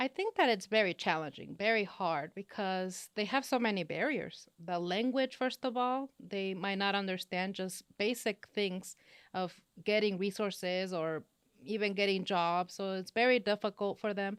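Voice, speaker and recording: A woman speaks at a moderate pace with a slight Spanish accent and ordinary pitch variation. The sound is dry and close with no echo, on a very clean recording over a silent background. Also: medium pitch for a woman. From Los Angeles, California, Mexican-Honduran family. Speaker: business professor. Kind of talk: interview.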